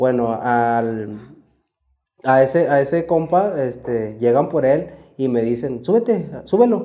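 At a very slow pace, a man at medium pitch with a dark, mellow tone and lively intonation speaks in audible room echo. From Mexico, Saltillo, Coahuila. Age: 20s. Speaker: former cartel member. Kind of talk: testimony. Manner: casual, slangy.

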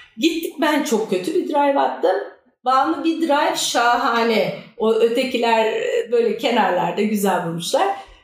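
The pitch swings very widely while the loudness stays very even, at a fairly slow pace. Noticeable background noise and audible room echo are present. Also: woman, high pitch for a woman. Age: 50s. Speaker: amateur golfer. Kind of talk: casual chat.

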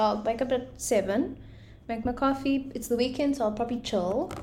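In an animated tone full of vocal fry, a woman talks at a very fast pace. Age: 20s. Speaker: podcast co-host, graphic designer and photographer. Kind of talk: casual chat. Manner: animated, laughing often.

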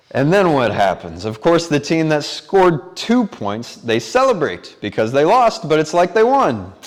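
With noticeable background noise behind him, a man speaks at a moderate pace and a fairly high pitch, his voice swinging very widely in pitch with hardly any pauses. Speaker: preacher. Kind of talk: sermon. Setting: church.

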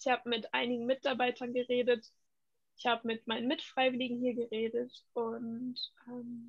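At a moderate pace, a woman talks in a high pitch with monotone, flat intonation. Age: 20s. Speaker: volunteer in care community. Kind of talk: casual interview.

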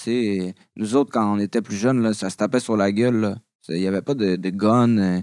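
A man with a Quebec accent speaks at a fairly low pitch and a moderate pace, with fairly even intonation. The recording is very clean with a silent background and a dry, close sound with no echo. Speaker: rapper. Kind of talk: casual chat.

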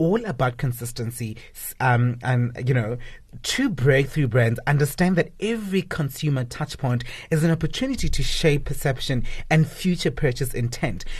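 Against a quiet background, a man with a fairly high pitch talks at a moderate pace, somewhat breathy, with ordinary pitch variation. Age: 30s. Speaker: radio co-host. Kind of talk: reading from notes; casual radio chat.

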